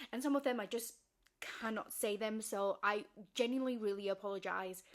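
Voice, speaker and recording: A woman's fairly quick speech with fairly even intonation. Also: fairly high pitch for a woman. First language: not English. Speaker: video creator explaining fiction lore. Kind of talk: casual explainer monologue.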